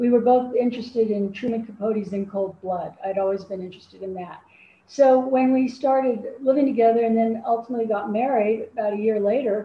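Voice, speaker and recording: A woman speaks with a General American accent and a fairly high pitch. Her voice is somewhat breathy, with fairly even intonation. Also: fairly quick pace. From Colorado, Denver. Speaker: true crime writer. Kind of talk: interview.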